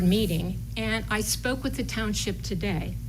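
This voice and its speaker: A woman's voice with audible room echo. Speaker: resident speaking at council meeting. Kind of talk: public comment.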